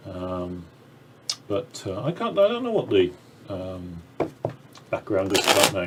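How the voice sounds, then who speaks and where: A man with an English accent at a fairly slow pace, with long, frequent pauses and noticeable background noise. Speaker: board game player. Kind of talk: casual chat.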